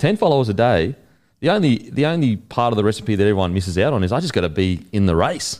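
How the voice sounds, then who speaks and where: A man's fairly low voice with an Australian accent, very fast, with very wide pitch swings, on a very clean recording with a silent background. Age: 30s. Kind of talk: casual chat.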